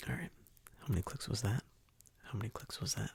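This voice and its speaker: A man is whispering. The sound is dry and close, with no echo. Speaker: ASMR creator. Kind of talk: ASMR follow-my-instructions video. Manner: soft-spoken.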